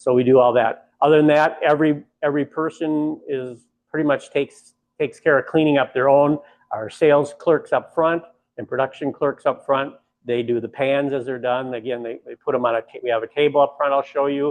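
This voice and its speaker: Using an unremarkable speaking voice, a man talks at a fairly quick pace with fairly even intonation and a fairly high pitch. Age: 60s. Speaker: bakery owner. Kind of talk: guided tour.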